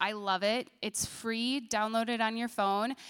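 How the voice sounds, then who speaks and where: Speaking at a moderate pace with an American accent, a woman has an unremarkable speaking voice and a fairly high pitch. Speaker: church children's ministry director. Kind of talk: testimony and church announcements.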